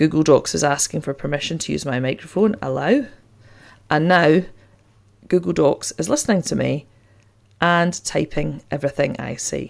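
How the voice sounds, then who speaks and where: A woman with a Scottish accent speaks at a moderate pace. She leaves long, frequent pauses. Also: very clean recording, silent background. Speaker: teacher and tech tutorial host. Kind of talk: tutorial.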